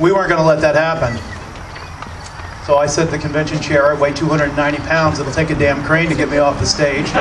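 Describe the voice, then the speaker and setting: A man with a fairly high pitch talks at a very fast pace. Noticeable background noise and audible room echo fill the recording. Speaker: radio host. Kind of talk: political speech. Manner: animated.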